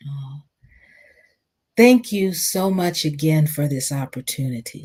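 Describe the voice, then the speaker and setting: A woman's very deep, low, somewhat breathy voice, with lively intonation at a very slow pace. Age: 70s. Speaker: community speaker and mindfulness teacher. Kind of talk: reflective talk. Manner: animated.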